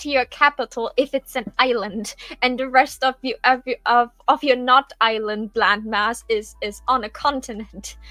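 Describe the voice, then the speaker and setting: A woman with a non-native accent speaks at a fairly high pitch in a bright, sharp tone, with ordinary pitch variation and a fairly slow pace. The sound is dry and close, with no echo. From Germany. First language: not English. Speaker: streamer and co-creator. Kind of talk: casual chat. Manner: halting.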